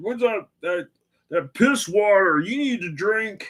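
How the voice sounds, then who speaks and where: In a put-on character voice, a man speaks at a high pitch in a Scottish accent. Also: fairly slow pace. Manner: casual, pushy.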